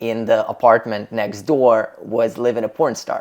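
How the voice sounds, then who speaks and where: A fairly slow pace in a non-native accent. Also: man. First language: not English. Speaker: podcast host. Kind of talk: casual interview. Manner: animated.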